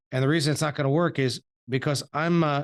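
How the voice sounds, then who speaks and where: With a New York accent and fairly even intonation, a man talks over a quiet background. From Suffolk, New York. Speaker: podcast host. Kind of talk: interview.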